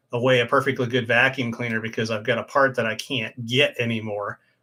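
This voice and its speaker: A man speaks at a fairly quick clip with a Midwestern American accent, his bright, sharp tone held in a flat monotone. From Ohio, US Midwest. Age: 50s. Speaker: motorcycle YouTuber. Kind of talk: casual live stream chat. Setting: home live stream.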